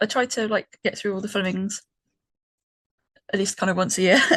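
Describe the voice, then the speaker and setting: A woman's fairly high voice with a British accent, fairly even intonation, a moderate pace and long, frequent pauses, in a dry, close sound with no echo. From Britain. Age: 30s. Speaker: podcast co-host. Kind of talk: casual chat. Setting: call with co-hosts. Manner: hesitant, many ums.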